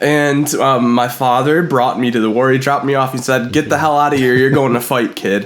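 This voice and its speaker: A man with a medium pitch talks in an animated tone at a fairly quick pace, keeping his loudness very even and hardly pausing at all. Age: 30s. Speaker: podcast co-host. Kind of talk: casual chat.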